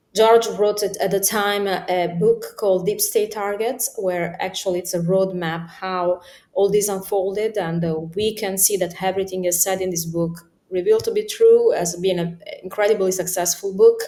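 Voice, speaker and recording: A woman's medium-pitched voice in an Italian accent, dark and mellow in tone, at a moderate pace with monotone, flat intonation. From Italy. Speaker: political commentator. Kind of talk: interview. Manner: halting, many fillers.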